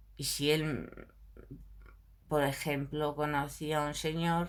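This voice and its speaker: In a Galician accent, a woman speaks at a very slow pace. Her pitch is very deep and low. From Galicia, Spain. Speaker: video blogger. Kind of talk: casual monologue to camera. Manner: animated.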